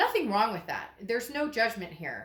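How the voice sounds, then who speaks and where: Amid noticeable background noise and audible room echo, a woman talks at a fairly quick pace in an animated tone with ordinary pitch variation. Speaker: tarot reader. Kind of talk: tarot reading monologue. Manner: fast.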